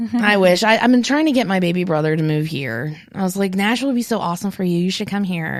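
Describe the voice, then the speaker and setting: Over noticeable background noise, a woman with a slight Southern US accent talks at a very fast pace with lively intonation and hardly any pauses. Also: medium pitch for a woman. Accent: slight Southern accent picked up over years. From West Virginia, Morgantown. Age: 30s. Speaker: adoptee and foster parent. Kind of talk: interview.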